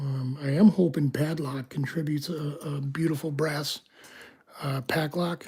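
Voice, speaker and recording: Soft-spoken, the voice moves at a fairly slow pace. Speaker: locksport streamer. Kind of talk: live stream commentary. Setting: home, live stream. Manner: hesitant, many fillers.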